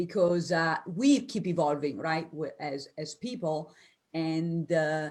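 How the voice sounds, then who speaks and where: A woman with an Italian accent speaks at a very slow pace in a fairly low pitch. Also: very clean recording, silent background. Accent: Italian, noticeable. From Italy. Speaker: business coach. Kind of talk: interview. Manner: animated, spontaneous.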